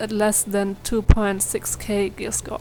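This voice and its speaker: Speaking with a non-native accent, a woman uses a medium pitch at a fairly slow pace. Her intonation stays monotone and flat. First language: not English. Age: young. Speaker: gaming youtuber. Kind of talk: tutorial; casual chat. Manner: hesitant, many fillers.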